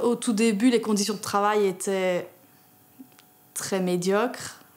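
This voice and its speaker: The speech from this woman comes at a fairly slow pace. Her delivery stays monotone and flat in intonation. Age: 30s. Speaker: union delegate, factory worker. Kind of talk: interview testimony.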